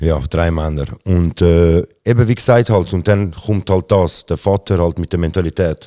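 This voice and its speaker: Recorded very cleanly against a silent background, a man's very deep, low voice carries a dark, mellow tone and fairly even intonation, the sound dry and close with no echo. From Switzerland, Zurich. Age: 30s. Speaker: rapper. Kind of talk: interview. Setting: theatre venue.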